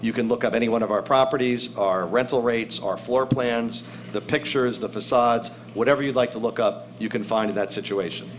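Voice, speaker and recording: Amid noticeable background noise and audible room echo, a man speaks fairly quickly at a medium pitch with fairly even intonation. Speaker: real estate developer executive. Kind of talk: formal presentation. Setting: council meeting room with audience. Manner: fast.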